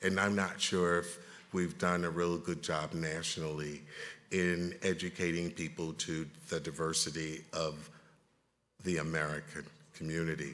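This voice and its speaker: Delivery is monotone and flat, at a moderate pace with long, frequent pauses. Audible room echo fills the space. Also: man, very deep, low pitch for a man. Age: 60s. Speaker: panel moderator, federal health official. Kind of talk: conference panel moderation. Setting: conference room with audience.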